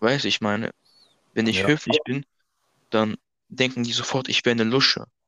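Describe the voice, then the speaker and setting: A man speaks at a fairly quick pace with long, frequent pauses, his pitch medium for a man. His tone is bright and sharp, with ordinary pitch variation. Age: young. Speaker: amateur football player. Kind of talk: casual chat. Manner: polite.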